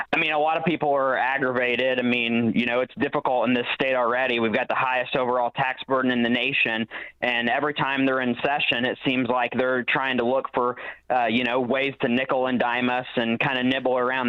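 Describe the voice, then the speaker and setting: A man with a Southern Illinois accent at medium pitch, fairly quick pace, hardly any pauses, very even loudness and monotone, flat intonation. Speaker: local party chairman. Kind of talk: talk radio interview.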